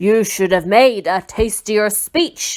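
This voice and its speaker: A gruff, put-on character voice, female-sounding and medium in pitch, at a fairly slow pace. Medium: read story. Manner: gruff, impatient.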